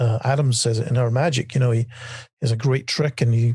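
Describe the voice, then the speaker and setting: A man's medium-pitched, somewhat breathy voice in a flat monotone. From Scotland. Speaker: magician and TV writer. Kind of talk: podcast interview. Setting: podcast. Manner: halting, many fillers.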